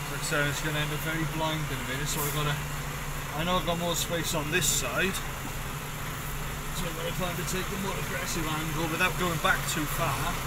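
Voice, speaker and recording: A man talks at a fairly quick pace. Loud background noise runs behind him. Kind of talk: casual vlog commentary. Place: car. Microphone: phone near.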